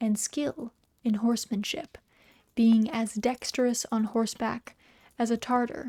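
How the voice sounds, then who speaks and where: In a soft-spoken, fairly high voice with a dark, mellow tone, a woman talks at a fairly slow pace with fairly even intonation. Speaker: VTuber streamer and storyteller. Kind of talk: literary story narration, reading aloud. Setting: cozy home stream, typing heard in background.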